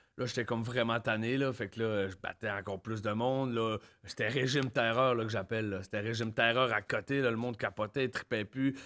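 Speaking with a Quebec accent, a man moves along at a fairly quick pace. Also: hardly any pauses, quiet background. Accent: Quebec French, Saguenay. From Saguenay, Quebec. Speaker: guest, former violent offender; podcast guest. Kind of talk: casual interview, personal storytelling. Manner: informal, slangy, animated. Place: studio. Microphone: studio mic.

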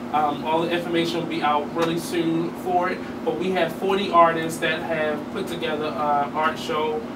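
A man's voice with little pitch movement, clear background noise behind it. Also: fairly high pitch for a man, moderate pace.

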